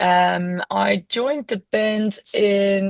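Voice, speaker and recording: A woman with a Dutch accent in a dry, close sound with no echo. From Netherlands. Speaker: rock band lead singer. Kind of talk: casual chat.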